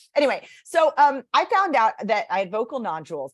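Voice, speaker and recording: Against a silent background in a very clean recording, a woman with vocal fry sounds animated, her pitch swinging very widely. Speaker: speech coach and author. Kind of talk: interview conversation. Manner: chatty.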